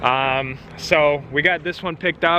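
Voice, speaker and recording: A man talks in a monotone with flat intonation. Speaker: car dealer and vlogger. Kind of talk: vlog narration. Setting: in a car and on a car lot.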